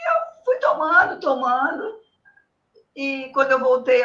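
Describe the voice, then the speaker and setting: At a fairly slow pace, a woman with a high pitch speaks with lively intonation. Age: 60s. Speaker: patient with diabetes. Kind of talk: consultation.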